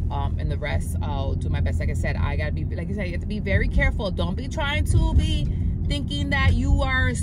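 Music plays in the background as a woman talks at a fairly quick pace with ordinary pitch variation and a dry sound with no echo. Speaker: fitness vlogger. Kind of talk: casual vlog chat. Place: car.

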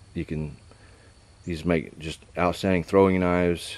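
A man's very deep, low voice, monotone and flat, at a moderate pace, in a dry sound with no echo. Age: 60s. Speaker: knife reviewer and knife maker; knife reviewer. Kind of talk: casual product review. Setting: outdoors. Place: garden. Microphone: camera far.

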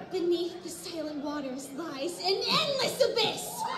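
An extremely high-pitched, put-on character voice moves at a fairly slow pace. Loud background noise and a slight echo fill the recording. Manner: dramatic, ominous.

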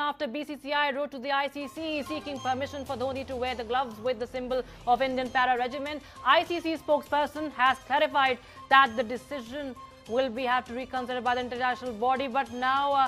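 Over music in the background, a woman with a high pitch speaks at a very fast pace with fairly even intonation. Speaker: news anchor. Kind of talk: TV news bulletin read.

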